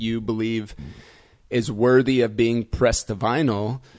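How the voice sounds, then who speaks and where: Against a quiet background, a man with a plain, everyday voice talks at medium pitch and a fairly slow pace. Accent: American. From US Midwest, Indiana. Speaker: techno DJ and producer. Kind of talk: casual chat.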